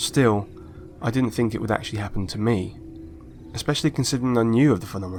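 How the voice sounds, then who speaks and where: Over noticeable background noise, a man speaks at a very fast pace, broken by long, frequent pauses. His pitch is medium, with ordinary variation. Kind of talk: personal story told to camera.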